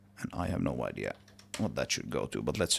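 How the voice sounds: This man speaks at a moderate pace with a fairly bright tone and some vocal fry.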